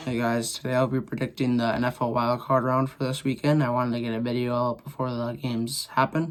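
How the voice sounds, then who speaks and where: A man talks at a very fast pace with hardly any pauses, his medium-pitched voice monotone and flat in intonation. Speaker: sports YouTuber. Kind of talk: casual sports predictions monologue. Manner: casual, informal.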